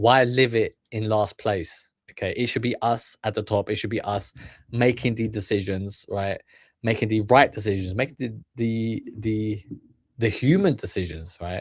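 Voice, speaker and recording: In a British accent, a man speaks at medium pitch and a moderate pace with fairly even intonation. The recording is very clean, with a silent background. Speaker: streamer reacting to videos. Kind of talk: reaction commentary, motivational talk. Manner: halting, many fillers and repetitions.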